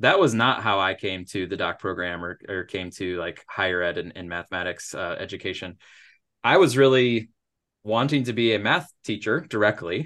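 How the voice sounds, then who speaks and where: With an American accent, a man with an unremarkable speaking voice talks at a fairly low pitch with ordinary pitch variation. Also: moderate pace. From Michigan, Upper Peninsula. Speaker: math education professor. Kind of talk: interview.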